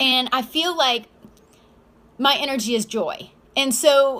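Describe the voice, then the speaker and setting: A woman with a high pitch speaks in a raised, projected voice, her tone bright and sharp. She sounds animated, with ordinary pitch variation. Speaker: self-help vlogger. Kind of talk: casual motivational monologue.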